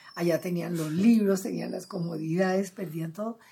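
A woman speaks at a fairly quick pace in a fairly low voice. Noticeable background noise sits behind her. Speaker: cultural manager and literary gathering founder. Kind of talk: interview.

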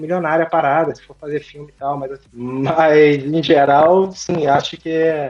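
A man with an ordinary speaking voice and a fairly high pitch. He talks at a moderate pace. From Brazil, Rio de Janeiro (Niterói). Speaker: data scientist and novelist. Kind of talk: interview.

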